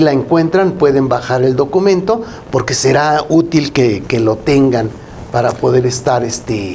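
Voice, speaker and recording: Noticeable background noise sits behind a man speaking at a fairly slow pace. His intonation is lively. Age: 60s. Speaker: accountant, co-host. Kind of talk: casual legal talk show discussion.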